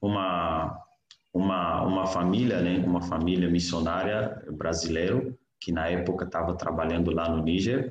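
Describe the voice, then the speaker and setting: With audible room echo around him, a man with a very deep, low voice speaks at a fairly slow pace. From Niger. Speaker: missionary and graduate student. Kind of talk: interview, personal testimony.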